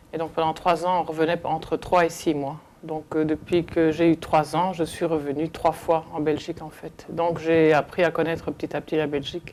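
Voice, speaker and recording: A woman's very deep, low voice at a moderate pace, monotone and flat, with hardly any pauses. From Belgium (Hainaut), early childhood in Congo. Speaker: interviewee recounting migration history. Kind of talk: oral history testimony. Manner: halting, many hesitations.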